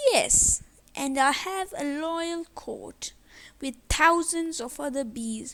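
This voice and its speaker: A woman puts on a character voice, pitched high and delivered at a very slow pace. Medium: read story. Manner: proud.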